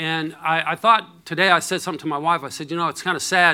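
Speaking at a moderate pace, a man with a fairly high pitch and a bright, sharp tone is heard on a very clean recording against a silent background. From rural area (country upbringing). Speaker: recovering addict sharing testimony. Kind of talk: testimony. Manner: halting, many fillers.

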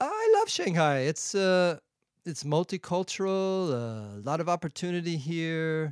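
A man with an American accent speaks fairly slowly at a high pitch, his intonation lively. The recording is very clean and dry, close with no echo, over a silent background. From San Diego, California. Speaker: clown, mime and improv performer. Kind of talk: casual chat. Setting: studio.

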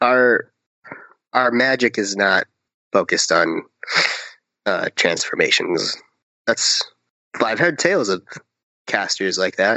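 A man puts on a raspy character voice at a medium pitch. He goes at a fairly slow pace, with long, frequent pauses. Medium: actual play. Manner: measured, thoughtful.

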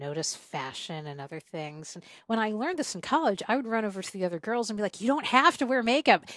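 A woman with an American accent, at a fairly quick pace, her pitch swinging very widely. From US South (South Carolina). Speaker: podcast host and traveler. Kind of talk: casual conversation interview.

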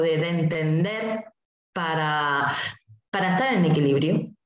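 A woman with a Spanish accent. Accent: Peninsular Spanish. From Spain. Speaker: numerologist. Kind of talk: interview.

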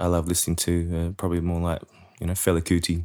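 A man speaks with a very deep, low voice in an Australian accent. The recording is very clean, with a silent background. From Sydney, Australia. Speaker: musician and bandleader. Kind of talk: interview. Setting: at home.

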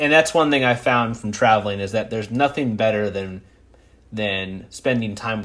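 A man speaks at a fairly quick pace in an ordinary speaking voice. His pitch sits in the medium range. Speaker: podcast host. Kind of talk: casual interview chat.

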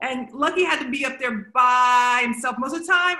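A woman's raised, projected voice, high in pitch, with a bright, sharp tone and ordinary pitch variation. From Texas. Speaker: theater director. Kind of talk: casual interview. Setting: video call.

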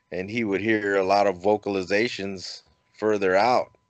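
Against a quiet background, a man with an American accent and a plain, everyday voice talks at a moderate pace with a fairly low pitch. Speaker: podcast host. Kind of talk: casual chat. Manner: jokey, humorous.

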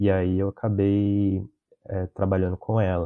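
A man speaks at a fairly low pitch. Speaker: biologist and podcast host. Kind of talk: casual interview chat. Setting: recorded live stream call.

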